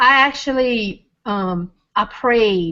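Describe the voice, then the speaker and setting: The speaker is a woman. She talks in a Louisiana accent. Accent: Louisiana Southern US. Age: 40s. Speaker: weight-loss testimonial guest. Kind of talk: testimony. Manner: halting, many ums.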